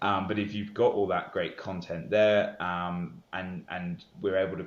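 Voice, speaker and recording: A man is speaking. He has a British accent. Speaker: business executive. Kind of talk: podcast interview. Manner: frequent hesitations and fillers.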